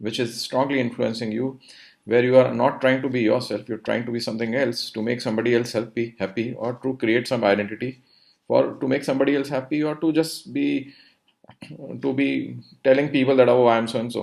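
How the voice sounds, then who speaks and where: Vocal fry runs through this man's medium-pitched voice. He speaks at a fairly quick pace with fairly even intonation. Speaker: meditation teacher. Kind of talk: talk on meditation philosophy. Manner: halting, with repetitions and fillers.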